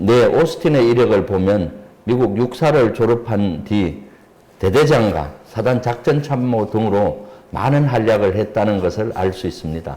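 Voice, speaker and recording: A man's fairly slow delivery with lively intonation, over noticeable background noise. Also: medium pitch for a man. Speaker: politician and retired army general, defense expert. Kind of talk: expert interview on a politics channel. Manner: formal.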